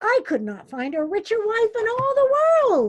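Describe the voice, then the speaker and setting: Doing a squeaky put-on character voice, a woman speaks at a moderate pace with extremely high pitch and very wide pitch swings. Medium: read story. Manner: commanding.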